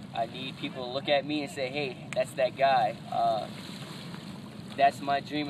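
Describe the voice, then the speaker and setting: Noticeable background noise sits behind a man speaking at a moderate pace with a fairly high pitch. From southern Louisiana, near New Orleans (Cajun). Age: 20s. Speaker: reality show casting hopeful. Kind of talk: self-introduction monologue. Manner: loud.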